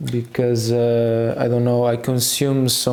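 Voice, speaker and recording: A man with a Portuguese accent at medium pitch and a very slow pace, with audible room echo and noticeable background noise. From Portugal. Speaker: youtuber, guitarist. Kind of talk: casual vlog monologue. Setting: at home, filming while changing guitar strings. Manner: hesitant, many fillers.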